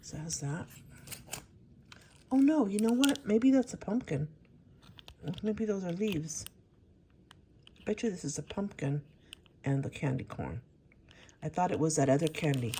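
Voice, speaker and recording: Very wide pitch swings run through a woman's fairly low, somewhat breathy voice with a dark, mellow tone. She keeps a moderate pace with long, frequent pauses. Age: 60s. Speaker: crafting YouTuber. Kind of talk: casual haul video. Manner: casual, chatty with fillers.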